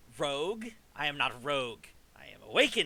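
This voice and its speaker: A man's put-on character voice, hissing, at a fairly quick pace. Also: fairly high pitch for a man. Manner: hissing, defiant.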